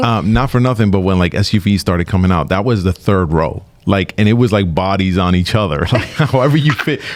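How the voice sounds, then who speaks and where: Using an ordinary speaking voice, a man talks at a fairly quick pace and a fairly low pitch with ordinary pitch variation, hardly any pauses and very even loudness. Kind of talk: radio interview host. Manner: upbeat, friendly.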